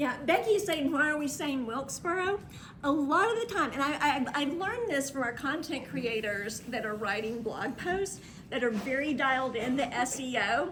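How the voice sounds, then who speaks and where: A woman speaks loudly in a high voice. Audible room echo surrounds her. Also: lively intonation, moderate pace. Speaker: travel marketing and PR consultant. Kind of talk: workshop presentation. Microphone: speaking without microphone.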